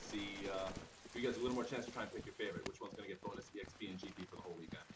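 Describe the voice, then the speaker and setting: Noticeable background noise and audible room echo fill this recording. The man speaks at a medium pitch. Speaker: game production manager hosting live stream. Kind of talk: live stream presentation. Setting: office studio with others in the room. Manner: talking louder than usual. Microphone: too quiet, wrong microphone in use.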